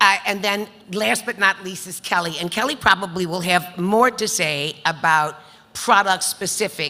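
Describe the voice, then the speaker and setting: A woman talks at a medium pitch and a moderate pace with ordinary pitch variation. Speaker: panel moderator, business lender. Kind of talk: panel introduction. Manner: loud.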